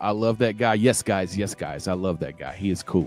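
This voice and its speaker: Fairly quick speech from a man over background music. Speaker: crypto livestream host. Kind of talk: casual chat. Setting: live stream. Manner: animated.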